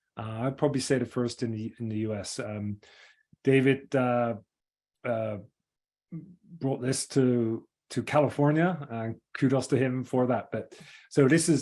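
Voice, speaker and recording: A man talks with an English accent and a dark, mellow tone. His pitch is medium, with ordinary pitch variation. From England. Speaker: engineering firm executive. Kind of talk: webinar presentation. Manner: fast; halting.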